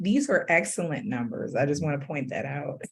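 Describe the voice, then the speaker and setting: A woman's voice with audible room echo. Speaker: webinar moderator. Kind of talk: webinar moderation.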